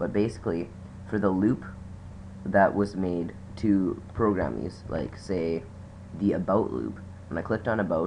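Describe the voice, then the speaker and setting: A man with a very deep, low voice speaks at a moderate pace with vocal fry. His pitch variation is ordinary, with long, frequent pauses. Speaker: hobby programmer. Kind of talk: casual screen-recording tutorial talk.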